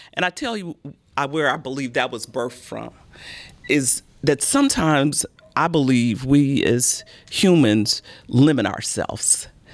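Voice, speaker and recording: With an American accent, the speaker goes at a fairly slow pace with long, frequent pauses and ordinary pitch variation, over noticeable background noise. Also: woman, very deep, low pitch for a woman. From Chicago. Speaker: mayor hosting a podcast. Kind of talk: interview.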